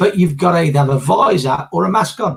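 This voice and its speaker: Vocal fry marks this man's voice. His pitch is fairly high. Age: 60s. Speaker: business finance panelist. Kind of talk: casual chat. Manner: halting.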